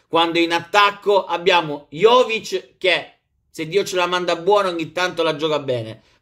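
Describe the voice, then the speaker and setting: The man's tone is bright and sharp, with ordinary pitch variation, set against a quiet background. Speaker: football vlogger and Milan fan. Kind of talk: angry rant. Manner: animated, emotional, passionate. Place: home room.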